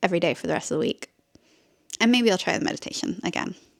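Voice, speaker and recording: A woman with an English accent talks at a very fast pace and medium pitch, with ordinary pitch variation. The sound is dry and close, with no echo. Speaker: lifestyle vlogger. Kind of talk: casual vlog chat.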